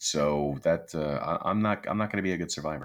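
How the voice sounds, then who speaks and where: Vocal fry runs through a man's voice. He talks at a moderate pace with lively intonation. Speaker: podcast co-host. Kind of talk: casual chat.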